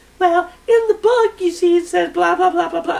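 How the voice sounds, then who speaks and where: A put-on character voice comes through here. Its pitch is extremely high and its pace moderate. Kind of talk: dismissive, blah-blah. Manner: smug, nitpicking.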